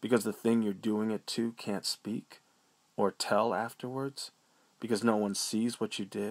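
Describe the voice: Plain reading aloud, nothing more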